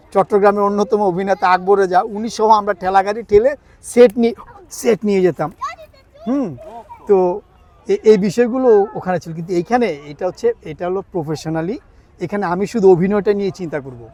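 Over noticeable background noise, a man with a high pitch speaks with ordinary pitch variation and big swings in loudness. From Bangladesh, Chittagong. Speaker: stage actor. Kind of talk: interview.

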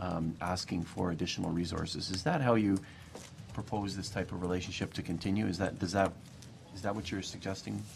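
A man's low voice at a fairly quick pace, with vocal fry

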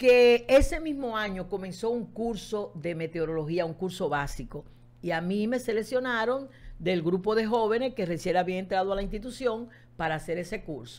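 At a moderate pace, a woman with a medium pitch talks in an unremarkable speaking voice. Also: lively intonation. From Dominican Republic, Santo Domingo. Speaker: meteorologist. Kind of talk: interview. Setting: studio.

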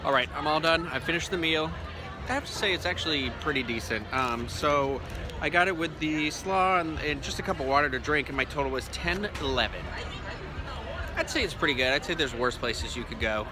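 A man at a fairly quick pace over clear background music, with a dry sound and no echo. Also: ordinary pitch variation. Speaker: food vlogger. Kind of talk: casual vlog chat. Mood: relaxed, self-deprecating. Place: cafe. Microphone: phone near.

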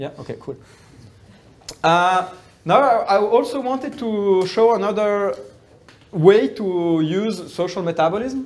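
A man's voice at a fairly slow pace. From Brazil. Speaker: researcher; lecturer. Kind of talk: lecture. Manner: halting. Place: classroom. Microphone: camera far.

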